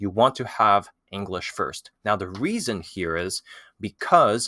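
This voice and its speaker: On a very clean recording with a silent background, a man with a French accent speaks fairly slowly at a medium pitch in a bright, sharp tone. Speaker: language-learning YouTuber. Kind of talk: tutorial. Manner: casual, with many fillers.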